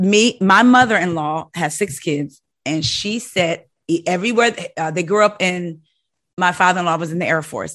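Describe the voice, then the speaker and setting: A woman's fairly low voice, ordinary pitch variation, moderate pace. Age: 40s. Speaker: podcast host. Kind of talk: casual chat. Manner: animated.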